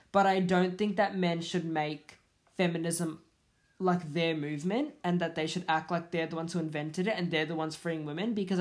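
A woman speaks in a normal speaking voice, fairly low in pitch, at a fairly quick pace with fairly even intonation. The recording is very clean with a silent background. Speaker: podcast host. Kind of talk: angry rant; solo podcast monologue.

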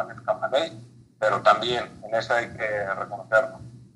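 Through noticeable background noise, a man speaks at a medium pitch with fairly even intonation. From Mexico, Baja California (Mexicali). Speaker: civil engineer, former college football player. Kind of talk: interview.

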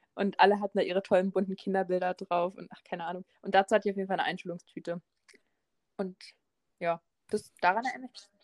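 Talking at a very fast pace yet with long, frequent pauses, a woman speaks in a monotone, flat intonation with big swings in loudness and a dry, close sound with no echo. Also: medium pitch for a woman. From Berlin. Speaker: podcast co-host. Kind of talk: casual chat.

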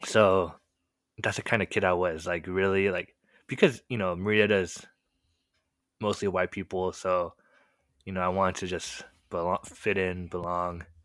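In a Californian accent, a man speaks at a very deep, low pitch and moderate pace. His intonation is monotone and flat, broken by long, frequent pauses. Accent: general American, Californian. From California, US. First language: Korean. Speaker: podcast co-host sharing his testimony. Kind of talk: casual conversational storytelling, testimony. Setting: late-night video call recording.

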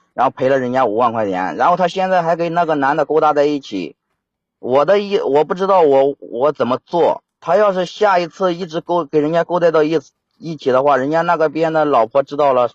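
Here a man speaks at a fairly quick pace. His pitch is fairly high, with ordinary variation. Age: 30s. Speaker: caller. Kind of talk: phone-in call about a family problem. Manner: halting.

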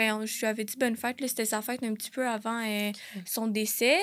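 A woman in a normal speaking voice, fairly high in pitch and fairly quick in pace, with fairly even intonation in a very clean recording over a silent background. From Quebec, Laval and Montreal South Shore. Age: 20s. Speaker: psychology student, suicide-bereaved sibling. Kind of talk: personal testimony in casual interview. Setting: studio.

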